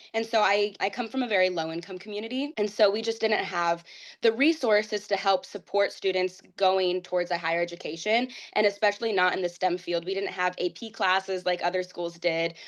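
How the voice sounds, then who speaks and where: A woman's medium-pitched voice with a Midwestern accent, fairly quick in pace, with ordinary pitch variation over a quiet background. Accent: American Midwest. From Ohio, US (Whitehall). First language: Portuguese. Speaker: pageant titleholder. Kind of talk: interview.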